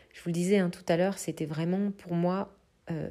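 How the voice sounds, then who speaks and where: The woman has a fairly low pitch and a dark, mellow tone, delivered in a monotone, flat intonation. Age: 30s. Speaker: creative entrepreneur and podcast host. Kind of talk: casual solo podcast monologue. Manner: hesitant with many fillers.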